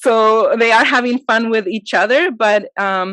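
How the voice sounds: A woman talks at a fairly slow pace with a fairly high pitch and a fairly bright tone. The sound is dry and close, with no echo.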